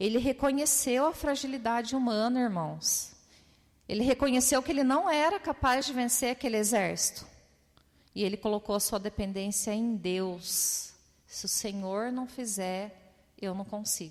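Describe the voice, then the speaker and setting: A woman speaks in an ordinary speaking voice, fairly slowly, at a fairly high pitch with ordinary pitch variation. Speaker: preacher. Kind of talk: sermon.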